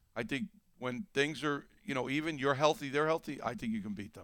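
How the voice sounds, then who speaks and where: The tone is bright and sharp, with very wide swings in pitch. The recording is very clean, with a silent background. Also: man. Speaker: basketball analyst and former player. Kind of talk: casual podcast chat.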